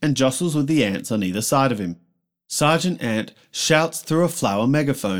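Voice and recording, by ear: Lively intonation colors this reading aloud in a natural voice. Nothing much stirs in the quiet background.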